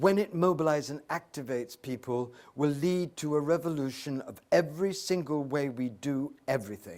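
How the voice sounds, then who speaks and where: A man with an Oxford accent and a fairly high pitch, ordinary pitch variation, a moderate pace with hardly any pauses, on a very clean recording with a silent background. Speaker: spiritual teacher. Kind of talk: Q&A discussion with audience. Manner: impassioned, oratorical.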